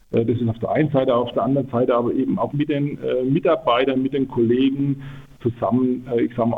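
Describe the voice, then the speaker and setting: A plain, everyday voice at a fairly quick pace. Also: man. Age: 50s. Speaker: production engineer. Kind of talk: radio interview.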